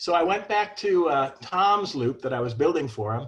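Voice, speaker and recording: Somewhat breathy, a man talks at a moderate pace. His intonation is lively. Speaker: ham radio antenna builder. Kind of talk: technical presentation.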